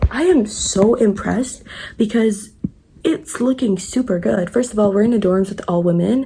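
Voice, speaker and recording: Noticeable background noise sits behind a woman at a moderate pace. Her medium pitch shows ordinary variation. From Morocco. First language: French. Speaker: travel vlogger. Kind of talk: casual vlog. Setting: outdoors. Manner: animated.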